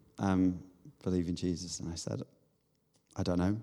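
A man talks with a Manchester accent. His tone is dark and mellow. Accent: Mancunian northern English. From Manchester area, northern England. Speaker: leadership coach. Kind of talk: casual chat.

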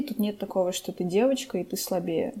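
Her voice is medium in pitch for a woman, somewhat breathy and dark and mellow in tone, with ordinary pitch variation. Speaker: podcast co-host. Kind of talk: casual chat.

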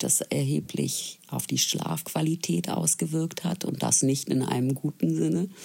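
A woman is speaking. Her pace is fairly slow. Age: 40s. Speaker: listener sharing experience. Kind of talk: personal testimony.

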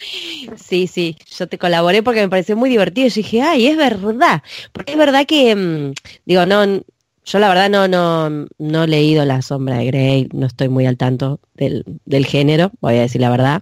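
Speaking fairly slowly with a Rioplatense accent, a woman uses a fairly low pitch that swings very widely. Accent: Rioplatense Spanish (porteño). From Buenos Aires, Argentina. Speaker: podcast co-host. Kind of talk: casual chat. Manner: animated.

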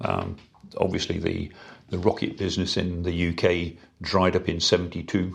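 Speaking at a moderate pace with an English accent, a man delivers a very deep, low voice in a monotone, flat intonation. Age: 70s. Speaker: rocket engineer. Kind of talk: interview. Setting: in person.

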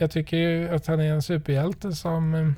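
A man speaks in a normal speaking voice. His pace is fairly slow. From western Sweden, Trollhättan. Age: 40s. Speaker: podcast host, father. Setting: in a parked car.

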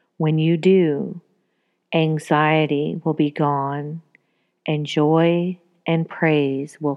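In a calm, soothing tone, a woman with a very deep, low pitch speaks at a very slow pace with monotone, flat intonation. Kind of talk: guided meditation. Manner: slow, calm, soothing; gentle, paused pacing with breath cues.

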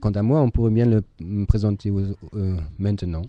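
A man with a German accent speaks at a fairly slow pace in a dark, mellow tone against a quiet background. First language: German (speaking French). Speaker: teacher. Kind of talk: moderating a video conference. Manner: halting.

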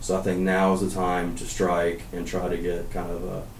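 A man with an American accent speaks at a very deep, low pitch with fairly even intonation. Audible room echo surrounds the voice. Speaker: school alumnus. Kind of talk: interview. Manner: halting, with many fillers.

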